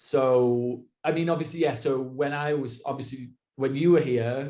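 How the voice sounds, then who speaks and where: This man has a British accent and a dark, mellow tone at a fairly high pitch. His intonation is monotone and flat, and he speaks at a fairly slow pace. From Britain. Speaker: expat working in education in Japan. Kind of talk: casual conversational interview.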